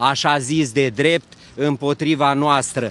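The pace is very slow. The sound is dry with no echo. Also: man. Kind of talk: interview answer. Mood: aggrieved, indignant. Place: street. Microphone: handheld.

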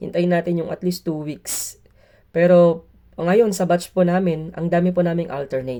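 A man talks at a moderate pace with fairly even intonation. His voice is high-pitched, with a dark, mellow tone. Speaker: teacher and vlogger. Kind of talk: vlog. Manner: polite, uses "po".

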